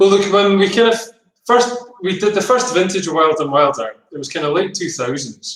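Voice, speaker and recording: The speaker has a Scottish accent and a moderate pace. The intonation is lively. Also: man, high pitch for a man. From Scotland, Edinburgh. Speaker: winemaker. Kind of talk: casual interview.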